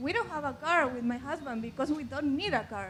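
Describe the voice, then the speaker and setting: Speaking with a Chilean accent, a woman with a high pitch uses lively intonation, and audible room echo surrounds her voice. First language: Spanish. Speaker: audience member. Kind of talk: audience question. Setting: festival stage with audience, handheld mic. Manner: hesitant.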